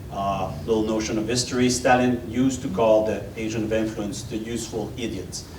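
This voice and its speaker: A man with a French accent speaks with fairly even intonation. Noticeable background noise and audible room echo fill the recording. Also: medium pitch for a man, fairly quick pace. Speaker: former intelligence officer. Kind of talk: panel Q&A. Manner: halting.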